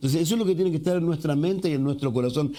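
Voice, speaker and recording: A man with a Chilean accent speaks with a high pitch. His intonation is lively. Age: 60s. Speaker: pastor. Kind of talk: sermon.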